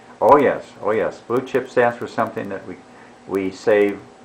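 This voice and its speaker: Against noticeable background noise, a man with an American accent talks at a moderate pace, his pitch fairly low and his intonation fairly even. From Chicago. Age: 80s+. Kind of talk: interview answer.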